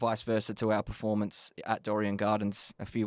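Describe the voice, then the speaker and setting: On a very clean recording with a silent background, a man with an Australian accent speaks at a fairly low pitch in a dry, close sound with no echo. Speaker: football coach. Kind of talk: podcast interview. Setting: studio.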